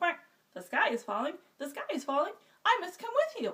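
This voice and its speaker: A woman uses a put-on character voice, squeaky and extremely high-pitched. Her pace is fairly quick, with very wide pitch swings. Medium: read story.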